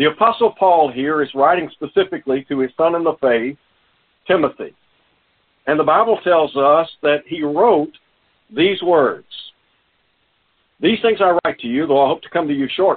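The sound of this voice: A man speaks with lively intonation at a fairly high pitch. His voice has a slightly husky edge. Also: moderate pace.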